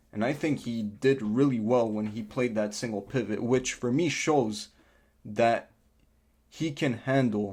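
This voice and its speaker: A man with a non-native accent speaks at a fairly slow pace and medium pitch with ordinary pitch variation. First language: not English. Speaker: football fan youtuber. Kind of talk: casual match review vlog.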